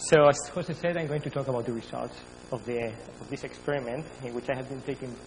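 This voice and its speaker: Audible room echo and noticeable background noise around a man's fairly rapid speech. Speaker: astrophysicist. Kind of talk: lecture. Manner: fast.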